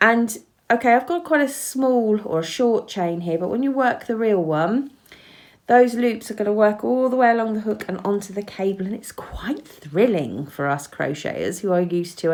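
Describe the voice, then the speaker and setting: Moderate pace and lively intonation from a woman with an English accent. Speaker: crochet teacher. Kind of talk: tutorial. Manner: casual, chatty with hesitations.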